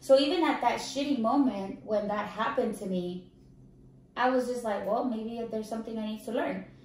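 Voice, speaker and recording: The speaker sounds animated, with a fairly quick pace and ordinary pitch variation, amid audible room echo and noticeable background noise. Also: woman, fairly high pitch for a woman. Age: 30s. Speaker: Navy veteran, podcast host. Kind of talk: casual interview chat.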